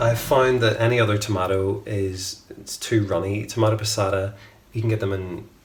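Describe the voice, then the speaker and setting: Noticeable background noise sits behind a man with a Northern Irish accent and a relaxed tone. His pitch is fairly low, his intonation monotone and flat, and his pace moderate. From Northern Ireland, Belfast. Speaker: home cook, cooking channel host. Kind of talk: cooking tutorial. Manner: casual, relaxed with fillers.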